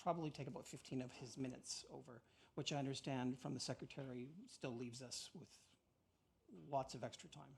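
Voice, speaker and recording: The man's voice comes out somewhat breathy. He moves along at a fairly quick pace. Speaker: counsel for claimants. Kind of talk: legal opening submissions. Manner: fast.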